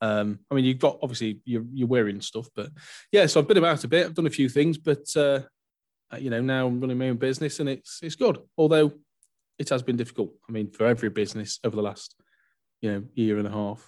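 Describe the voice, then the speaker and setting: This man talks very fast in an English accent, his medium-pitched voice showing ordinary pitch variation. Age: 30s. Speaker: mortgage adviser. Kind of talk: casual chat.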